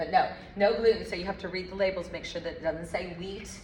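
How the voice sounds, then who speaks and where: A woman talks at a fairly quick pace in an animated tone with a medium pitch. Audible room echo and noticeable background noise surround her. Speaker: health coach. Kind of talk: group workshop. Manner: fast.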